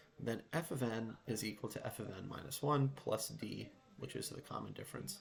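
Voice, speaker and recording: Whispering, a man speaks at a moderate pace. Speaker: math teacher. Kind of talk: tutorial.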